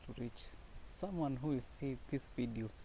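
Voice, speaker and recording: Somewhat breathy, with a dark, mellow tone, a man of medium pitch speaks at a moderate pace with ordinary pitch variation. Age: 20s. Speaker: student and aspiring entrepreneur. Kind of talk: personal vlog monologue. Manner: halting.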